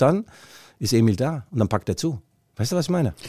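A man at medium pitch, animated in tone with lively intonation, in a very clean recording with a silent background and a dry, close sound with no echo. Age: 50s. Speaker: football journalist and podcast co-host. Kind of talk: casual chat.

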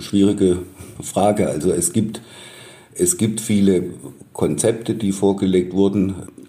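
In a Swabian accent, a man talks at a fairly slow pace with very even loudness and long, frequent pauses, with audible room echo around him. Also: fairly low pitch for a man, fairly even intonation. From Baden-Württemberg, near Stuttgart. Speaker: journalist. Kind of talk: interview.

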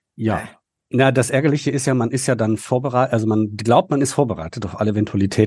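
Talking at a very fast pace over a quiet background, a man with a dark, mellow tone and a somewhat breathy voice holds a medium pitch with ordinary pitch variation. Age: 40s. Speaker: political staffer and amateur actor. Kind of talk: casual chat.

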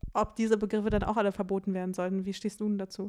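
Here a woman speaks with a fairly high pitch and a dark, mellow tone. The recording is very clean, with a silent background. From eastern Germany, Russian-speaking family. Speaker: podcast host. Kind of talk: casual chat.

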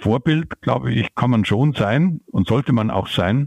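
Pitched at a medium level, a man talks fairly slowly. His pitch varies in an ordinary way. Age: 60s. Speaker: climate economist, professor. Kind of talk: interview. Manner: hesitant with fillers.

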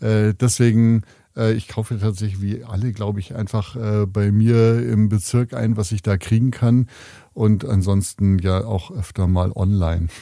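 A man's dark, mellow, fairly low-pitched voice with fairly even intonation at a fairly slow pace, on a very clean recording with a silent background. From Munich, Bavaria. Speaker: newspaper editor-in-chief. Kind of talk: interview. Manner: hesitant, many fillers.

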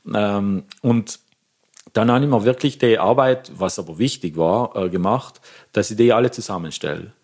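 With a South Tyrolean accent, a man talks at a moderate pace. His medium pitch shows ordinary variation. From South Tyrol, Pustertal. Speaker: organist and music lecturer. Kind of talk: interview.

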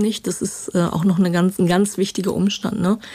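A woman speaks in a flat, monotone way. The recording is very clean, with a silent background. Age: 50s. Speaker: crime reporter. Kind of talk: interview. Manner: hesitant, many filler sounds.

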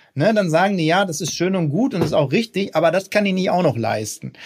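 Lively intonation from a man with a high pitch. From Ruhr area, Germany. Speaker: politician. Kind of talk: interview.

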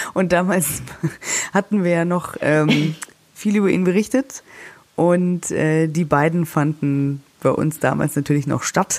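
A woman's fairly low-pitched voice at a very slow pace, very even in loudness, with ordinary pitch variation. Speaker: celebrity news podcast host. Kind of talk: casual chat. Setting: holiday room in the Alps.

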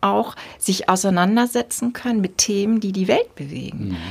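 On a very clean recording over a silent background, a woman speaks at a moderate pace in a somewhat breathy voice. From northern Germany, rural Dithmarschen. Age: 50s. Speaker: bishop and podcast host. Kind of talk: casual interview conversation.

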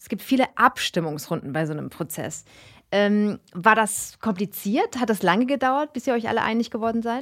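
A woman with a normal speaking voice and a fairly high pitch talks at a moderate pace with lively intonation and big swings in loudness. The sound is dry and close with no echo, on a very clean recording with a silent background. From Germany, Karlsruhe. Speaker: podcast host. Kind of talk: casual interview. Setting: studio.

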